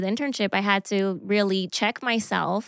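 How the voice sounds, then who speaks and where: A woman with an American accent speaks in a bright, sharp tone at medium pitch and a moderate pace, with ordinary pitch variation, in a very clean recording with a silent background. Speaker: church team leader. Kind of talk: casual chat.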